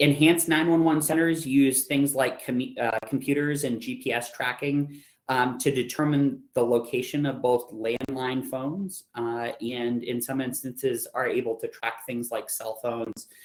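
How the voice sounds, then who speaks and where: At a moderate pace and with hardly any pauses, a man speaks in an ordinary speaking voice at medium pitch. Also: fairly even intonation. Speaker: EMS instructor. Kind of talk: lecture.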